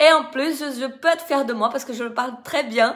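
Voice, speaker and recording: A woman speaks at a fairly quick pace. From Brazil. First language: Portuguese (speaking French). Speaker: dance teacher. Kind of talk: live video testimony. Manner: halting.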